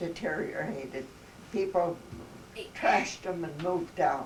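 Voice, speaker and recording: Speaking at a fairly slow pace, a woman has a fairly low voice. The room echo is audible, and there is noticeable background noise. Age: 80s+. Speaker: elderly interviewee recalling her life. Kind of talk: casual family conversation. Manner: halting, with many fillers.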